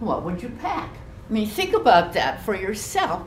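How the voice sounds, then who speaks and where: A woman with an American accent is heard with audible room echo and light background noise. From US Pacific Northwest, Vashon Island; US Pacific Northwest. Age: 90s. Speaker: war internment survivor; guest. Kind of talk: talk to a school class. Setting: classroom. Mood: earnest, reflective. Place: classroom. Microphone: camera far.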